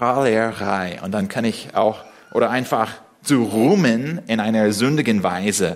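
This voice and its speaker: Recorded with audible room echo, a man with an English accent speaks at medium pitch with ordinary pitch variation. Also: fairly slow pace. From USA. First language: English (speaking German). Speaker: preacher. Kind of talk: sermon. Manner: halting.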